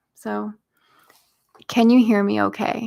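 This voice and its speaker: A soft-spoken woman in an American accent, at a very slow pace. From US South (Arkansas and Tennessee). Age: 20s. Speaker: YouTuber. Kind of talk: casual livestream chat. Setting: home office.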